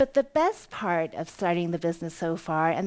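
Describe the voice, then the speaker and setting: A woman's fairly low voice at a fairly quick pace, with ordinary pitch variation, on a very clean recording with a silent background. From US West Coast, Oakland, California. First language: Cantonese. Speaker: entrepreneur, company CEO. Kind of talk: conference talk.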